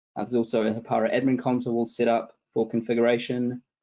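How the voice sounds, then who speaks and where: A man speaks with a New Zealand accent. His pace is fairly quick and his pitch is medium. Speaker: tech support consultant. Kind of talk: webinar interview. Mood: calm, explanatory. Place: home room. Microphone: video call.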